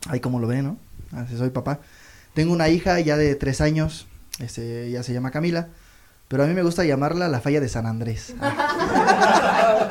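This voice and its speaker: In a plain, everyday voice, a man speaks at a moderate pace and fairly high pitch with lively intonation. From Mexico, Toluca. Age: 30s. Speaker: comedian. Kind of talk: stand-up. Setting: stage with audience.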